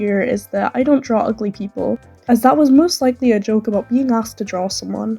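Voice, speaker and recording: There is music in the background. A woman talks at a very fast pace with ordinary pitch variation. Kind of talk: video essay commentary.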